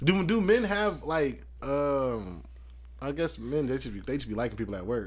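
A man talks at a moderate speed in a room with audible echo. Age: 30s. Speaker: podcast host. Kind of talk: casual chat.

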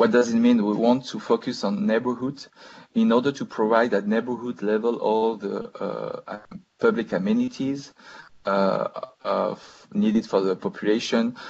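A man speaking at a fairly slow pace against a quiet background. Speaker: city policy official. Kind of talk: webinar presentation. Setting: video call. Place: home room. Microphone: video call.

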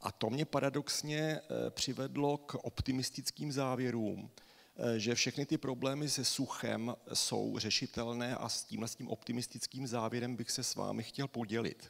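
Over a quiet background, a man with a plain, everyday voice speaks at a moderate pace and medium pitch with fairly even intonation. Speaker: hydrogeologist and university lecturer; university lecturer. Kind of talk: lecture. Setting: stage with audience. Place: stage.

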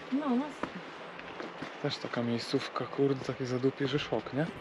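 A man at a moderate pace, dry sound with no echo, and loud background noise. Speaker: motorcycle travel vlogger. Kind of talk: casual vlog chat. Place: open country. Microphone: helmet.

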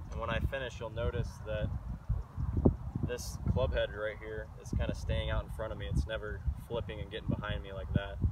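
Against loud background noise, a man speaks at a fairly quick pace, the sound dry with no echo. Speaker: golf instructor. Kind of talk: tutorial. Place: open country.

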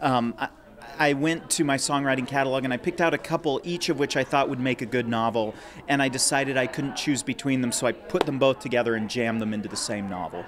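Against noticeable background noise, a man talks at a very fast pace with ordinary pitch variation. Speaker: young adult novelist. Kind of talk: interview. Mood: thoughtful, friendly. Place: office. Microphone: handheld.

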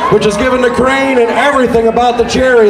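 There is crowd noise in the background as a man speaks. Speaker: event DJ announcer. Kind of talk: public announcement. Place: street. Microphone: pa.

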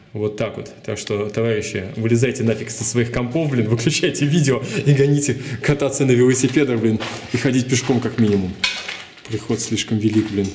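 A man talking at a fairly quick pace, fairly even in intonation, over light background noise. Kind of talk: casual vlog chat. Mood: joking, ironic. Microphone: phone near.

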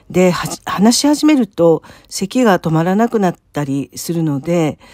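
A woman with an unremarkable speaking voice talks at a fairly low pitch with lively intonation. The sound is dry and close, with no echo. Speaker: church member sharing faith story. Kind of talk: testimony. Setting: solo recording.

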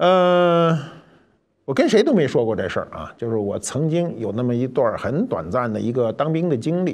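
A man whose pitch sits fairly high swings it very widely while keeping a moderate pace. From Beijing. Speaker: cultural commentator. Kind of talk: storytelling monologue. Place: studio.

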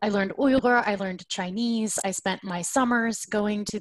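A somewhat breathy woman with an American accent and ordinary pitch variation, in a dry sound with no echo and a quiet background. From US South (Oklahoma). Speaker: researcher and advocate. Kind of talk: webinar panel talk. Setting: video call. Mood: earnest, engaged. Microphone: video call.

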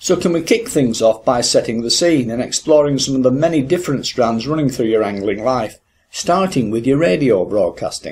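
An unremarkable speaking voice with lively intonation. It moves at a moderate pace with hardly any pauses. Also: man, medium pitch for a man. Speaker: podcast host. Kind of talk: interview. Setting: fishing hut by a river.

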